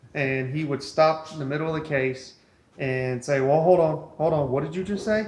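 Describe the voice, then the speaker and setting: Audible room echo carries a man's American accent as he speaks at a moderate pace with ordinary pitch variation. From East Texas, Beaumont. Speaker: cath lab medical worker. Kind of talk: casual interview chat.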